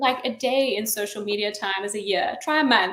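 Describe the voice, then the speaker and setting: With a slight South African accent, the speaker moves at a moderate pace with lively intonation. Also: woman. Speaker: chief marketing officer. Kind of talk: interview. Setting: online live stream.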